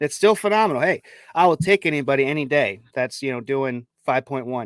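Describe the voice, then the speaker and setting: A man with a Chicago accent and a fairly high pitch speaks in a very clean recording with a silent background, the sound dry and close with no echo. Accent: Chicago accent, affects pronunciation of D's. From Chicago, US Midwest. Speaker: sports podcast host. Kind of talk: casual sports talk with stats. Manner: stumbles over names.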